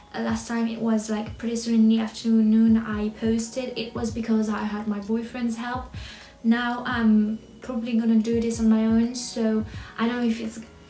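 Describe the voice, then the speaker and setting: At a moderate pace, a woman with fairly high pitch speaks in a monotone, flat intonation, with audible room echo and noticeable background noise. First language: French. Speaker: book vlogger. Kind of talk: casual vlog chat. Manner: halting, with fillers and restarts.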